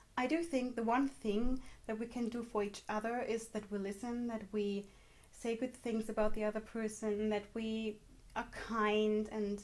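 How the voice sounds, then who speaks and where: A woman's fairly high voice with a German accent, flat and monotone, at a moderate pace. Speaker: vlogger. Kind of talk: personal testimony vlog.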